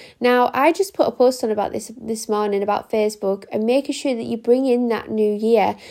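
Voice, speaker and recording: This is a woman with an English accent. Her pitch is fairly high. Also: very clean recording, silent background. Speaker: astrology podcaster. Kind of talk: astrology forecast monologue. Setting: home recording. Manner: quieter than usual.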